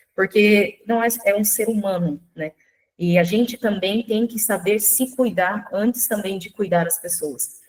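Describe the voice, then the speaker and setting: The woman speaks at a fairly slow pace. Her voice is somewhat breathy. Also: medium pitch for a woman, ordinary pitch variation. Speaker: nutrition speaker. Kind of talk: online workshop lecture.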